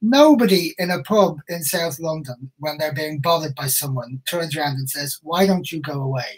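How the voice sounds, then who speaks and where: A man with an Irish accent and a fairly high pitch talks at a moderate pace with hardly any pauses and ordinary pitch variation. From Ireland. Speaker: crime novelist. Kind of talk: casual interview chat.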